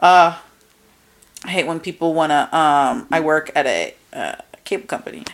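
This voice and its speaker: A woman's fairly low voice in a New Jersey accent, animated in tone, with long, frequent pauses. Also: ordinary pitch variation, moderate pace. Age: 20s. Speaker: podcast co-host. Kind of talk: casual chat. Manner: animated, frequent laughter.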